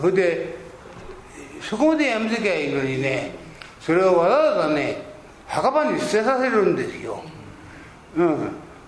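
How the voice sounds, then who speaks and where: A man with high pitch and very wide pitch swings, at a moderate pace with long, frequent pauses, over noticeable background noise. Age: 80s. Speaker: Buddhist priest giving a talk. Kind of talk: religious sermon talk. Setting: live talk before an audience. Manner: humorous, self-deprecating, rambling.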